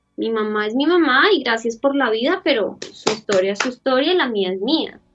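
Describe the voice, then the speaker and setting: Music plays in the background while a woman talks. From Colombia, Bogotá. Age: 30s. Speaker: interview guest. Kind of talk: personal life story interview. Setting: video call.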